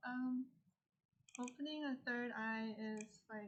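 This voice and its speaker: A woman mumbles quietly in a high pitch, with fairly even intonation and a fairly slow pace. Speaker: livestreamer and artist. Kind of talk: casual livestream chat while drawing. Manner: mumbling. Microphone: poor audio, old mic.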